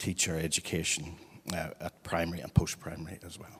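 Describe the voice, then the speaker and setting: A man speaks at a moderate pace in a Northern Irish accent. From Northern Ireland. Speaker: head of teacher education. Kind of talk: panel conversation.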